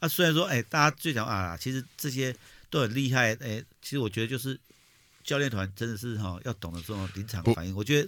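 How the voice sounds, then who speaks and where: Speaking in an ordinary speaking voice, a man with a medium pitch talks at a fairly quick pace with lively intonation on a very clean recording with a silent background. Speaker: political podcast co-host. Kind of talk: casual chat.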